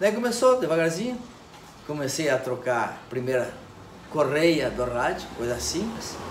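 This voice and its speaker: Noticeable background noise and audible room echo surround a voice with a southern Brazilian accent. The pitch swings very widely, with long, frequent pauses. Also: man, fairly high pitch for a man. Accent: southern Brazilian (gaúcho) Portuguese. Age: 60s. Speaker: electronics repair technician. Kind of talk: interview. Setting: electronics repair shop.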